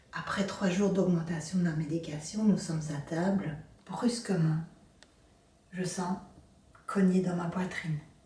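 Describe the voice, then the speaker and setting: The woman talks at a fairly slow pace, leaving long, frequent pauses. Her intonation is fairly even, and the room echo is audible. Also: fairly low pitch for a woman. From Belgium, Brussels area. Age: 60s. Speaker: abuse survivor sharing her story. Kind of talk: personal testimony.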